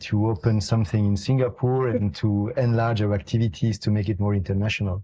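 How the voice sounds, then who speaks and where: Fairly quick and with fairly even intonation, the voice sounds dark, mellow and somewhat breathy. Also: man. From Italy. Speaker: investment executive. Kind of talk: podcast interview. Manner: hesitant, many fillers.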